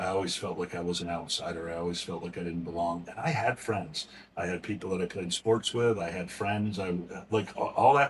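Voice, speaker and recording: The speaker uses an American accent and fairly even intonation at a fairly quick pace, over noticeable background noise. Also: man. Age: 60s. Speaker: nonprofit founder, recovery advocate. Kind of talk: podcast interview, personal story. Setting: museum, recorded interview.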